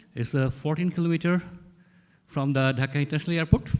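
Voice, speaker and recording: The speaker talks at a very fast pace with a non-native accent. Pitch varies in an ordinary way. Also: man. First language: not English. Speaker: conference organizer. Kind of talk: conference presentation.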